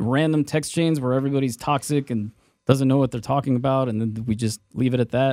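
A very clean recording with a silent background carries speech at a fairly quick pace. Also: man. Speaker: radio host. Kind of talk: casual banter, airing grievances. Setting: studio.

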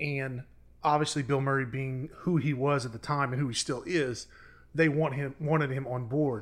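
At a moderate pace, a man with a plain, everyday voice speaks with fairly even intonation in a very clean recording with a silent background. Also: fairly high pitch for a man. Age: 30s. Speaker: podcast producer and co-host. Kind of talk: casual chat.

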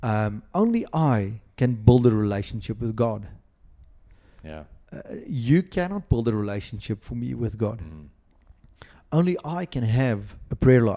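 A man with a South African accent talks at a fairly slow pace and medium pitch, with a dark, mellow tone and lively intonation. His loudness swings widely, and he pauses often and at length. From South Africa, Western Cape (Boland). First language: Afrikaans. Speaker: pastor. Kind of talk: interview. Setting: podcast recording.

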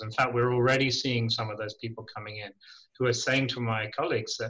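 This man talks at a medium pitch in a monotone, flat delivery. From Ireland, schooled in England. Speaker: charity chief executive. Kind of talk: radio interview.

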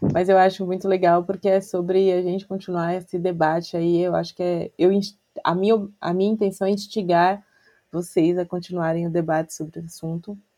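This woman speaks at a moderate pace in a fairly low, dark and mellow voice, with monotone, flat intonation. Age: 30s. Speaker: podcast co-host. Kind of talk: casual chat.

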